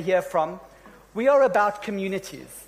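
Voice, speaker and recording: A man's high pitch at a moderate pace with ordinary pitch variation. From South Africa. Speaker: session moderator. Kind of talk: panel moderation. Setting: stage with audience. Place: stage. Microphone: handheld.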